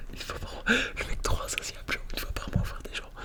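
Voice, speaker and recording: Someone whispers over noticeable background noise. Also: man. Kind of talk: ASMR casual rambling talk. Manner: whispered, close-up.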